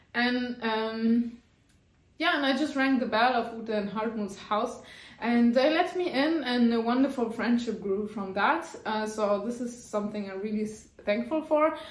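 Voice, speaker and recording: Her pitch fairly high with ordinary variation, a woman speaks at a fairly slow pace amid audible room echo. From France. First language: French. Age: adult. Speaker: knitting YouTuber. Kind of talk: casual vlog monologue. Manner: halting, with frequent fillers.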